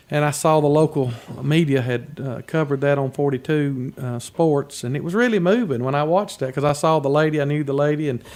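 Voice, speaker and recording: Here is an unremarkable speaking voice, a man with a fairly high pitch. He moves at a fairly quick pace with ordinary pitch variation. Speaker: radio sports announcer, voice of a high school's teams. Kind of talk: casual radio interview answer.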